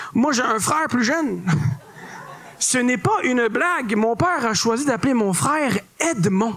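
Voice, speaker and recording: An extremely high-pitched man in a Quebec accent, fairly slow with long, frequent pauses, lively intonation and very even loudness, over noticeable background noise. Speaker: comedian. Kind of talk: stand-up. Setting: stage with audience.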